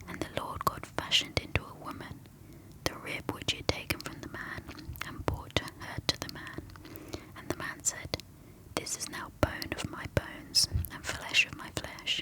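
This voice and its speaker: A woman whispering with a British accent at a moderate pace, her loudness swinging widely, with noticeable background noise. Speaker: ASMR creator. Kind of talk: reading aloud.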